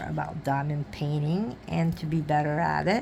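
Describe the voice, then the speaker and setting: Amid noticeable background noise and audible room echo, a woman with a very deep, low pitch speaks at a moderate pace. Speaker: crafting YouTuber. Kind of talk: casual vlog chat. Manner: halting, searching for words.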